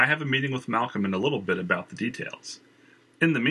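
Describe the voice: Text is read out plainly, the pitch moving in a lively way.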